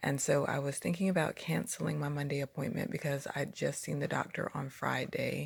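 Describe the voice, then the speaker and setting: This very clean recording with a silent background has speech at a moderate pace. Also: woman. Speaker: vlogger, new mother. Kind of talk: casual vlog storytelling.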